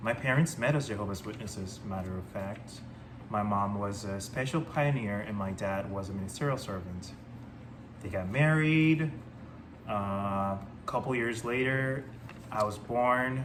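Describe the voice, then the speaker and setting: A man speaks at a moderate pace with a Spanish accent, his pitch fairly low and his pitch variation ordinary, with audible room echo. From Panama. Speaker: ex-Jehovah's Witness vlogger. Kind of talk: personal testimony. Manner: hesitant, many fillers.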